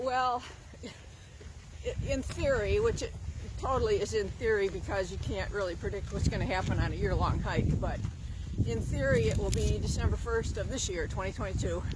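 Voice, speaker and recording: Loud background noise runs under a woman speaking at a moderate pace. Her speech has long, frequent pauses, and the sound is dry with no echo. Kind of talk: interview answer. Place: waterside. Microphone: phone near.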